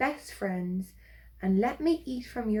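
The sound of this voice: An unforced reading voice carries the text. Its intonation stays lively.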